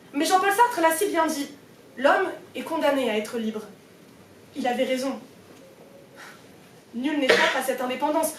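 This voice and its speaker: In a Parisian accent, a woman with a high pitch and lively intonation speaks at a moderate pace with long, frequent pauses, amid audible room echo and noticeable background noise. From France, Paris. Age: young. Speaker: student debater. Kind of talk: speech contest oration. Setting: stage with audience. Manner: formal.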